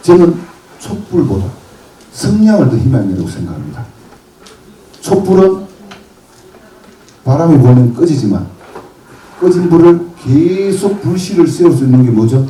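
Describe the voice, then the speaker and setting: Over noticeable background noise and audible room echo, a man with a fairly high pitch talks at a fairly slow pace with long, frequent pauses, his tone animated and his intonation lively. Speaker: motivational speaker. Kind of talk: lecture.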